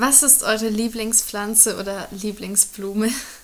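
The speech comes at a fairly slow pace in a monotone, flat intonation, with noticeable background noise. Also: woman. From Germany. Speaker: intern. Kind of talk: casual interview.

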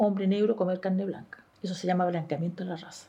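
A woman speaks at a fairly quick pace. Her tone is dark and mellow, somewhat breathy. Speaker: Afro-Chilean community member. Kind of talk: testimony.

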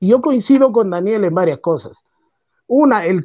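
This man speaks at a high pitch with lively intonation. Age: 60s. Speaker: football pundit. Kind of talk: radio football talk show.

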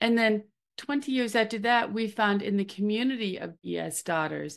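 In a plain, everyday voice with an American accent, a woman speaks at a moderate pace and fairly high pitch over a quiet background. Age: 60s. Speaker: drug safety advocate. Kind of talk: casual interview.

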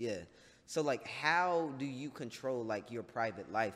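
In an American accent, a man talks fairly slowly in a plain, everyday voice at a medium pitch with lively intonation. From North Carolina. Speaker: podcast host. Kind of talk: casual chat. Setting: studio.

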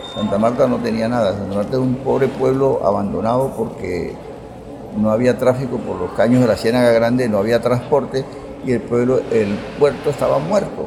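A man's medium-pitched voice amid noticeable background noise. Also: ordinary pitch variation, moderate pace. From Colombian Caribbean, Fundación (Magdalena). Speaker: teacher and local historian. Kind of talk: interview, historical storytelling.

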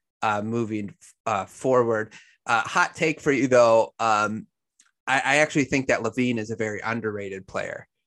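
A man with an ordinary speaking voice, medium pitch and ordinary pitch variation, at a moderate pace over a quiet background. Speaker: sports podcast host. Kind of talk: casual sports chat interview. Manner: casual, conversational.

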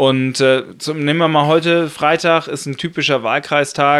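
Speaking in a monotone, flat intonation, a man holds a fairly high pitch. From northern Germany (Lower Saxony, Buxtehude). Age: 30s. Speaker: politician (member of European Parliament). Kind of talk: casual interview. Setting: home kitchen studio.

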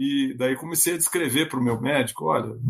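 The voice is somewhat breathy, with very wide pitch swings. It moves at a fairly quick pace. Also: man. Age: 60s. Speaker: labour court judge. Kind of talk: interview.

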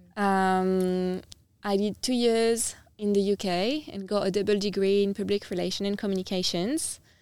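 Over a silent background on a very clean recording, a woman speaks at a medium pitch with a French accent. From France, Nice (south of France). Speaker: startup founder and CEO. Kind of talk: podcast interview.

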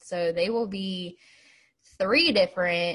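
With an American accent, a woman speaks at medium pitch in a somewhat breathy voice against a quiet background. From US Appalachia (West Virginia). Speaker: podcast co-host. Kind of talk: casual chat.

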